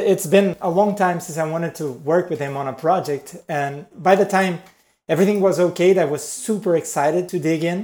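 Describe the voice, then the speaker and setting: Speaking at a moderate pace with a Portuguese accent, a man holds fairly even intonation at a high pitch. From Brazil. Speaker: type designer, studio founder. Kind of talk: interview.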